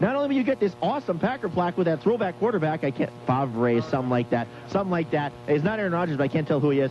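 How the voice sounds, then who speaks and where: Over music in the background, a man speaks in an upbeat tone with very wide pitch swings. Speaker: wrestling promotion commissioner promoting events on a radio show. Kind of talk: live radio promo, enthusiastic pitch for wrestling events. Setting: remote broadcast at a store during a charity drive. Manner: fast, upbeat, salesy.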